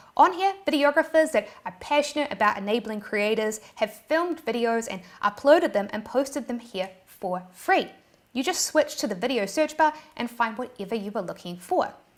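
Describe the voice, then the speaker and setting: Speaking in a New Zealand accent, a woman sounds animated at a moderate pace. Her pitch is high, with very wide swings. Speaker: YouTube tutorial creator. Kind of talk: tutorial.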